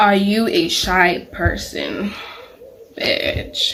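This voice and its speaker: Room echo and clearly audible background noise surround a woman who talks very slowly. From Nigeria. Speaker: YouTuber. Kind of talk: casual Q&A vlog.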